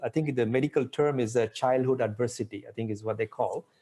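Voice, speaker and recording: A man with a Tamil accent and a dark, mellow tone. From India, Pondicherry. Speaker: author and innovation expert. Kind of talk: interview. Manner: animated.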